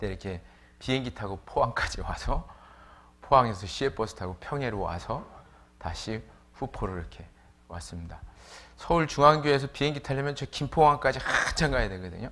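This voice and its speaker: A man with a medium-pitched voice and vocal fry talks fairly quickly with lively intonation, big swings in loudness, and long, frequent pauses. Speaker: preacher. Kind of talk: sermon. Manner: casual, with many fillers.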